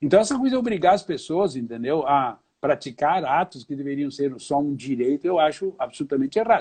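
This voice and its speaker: A man talks at a fairly quick pace with hardly any pauses. His fairly high voice has lively intonation. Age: 60s. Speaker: lawyer and law professor. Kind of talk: casual interview chat. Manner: animated.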